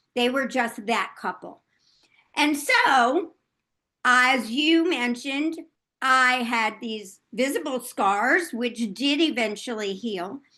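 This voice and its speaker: The tone is bright and sharp. The pace is very slow. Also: woman, high pitch for a woman, ordinary pitch variation, quiet background. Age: 70s. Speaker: author and former healthcare worker. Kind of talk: interview testimony.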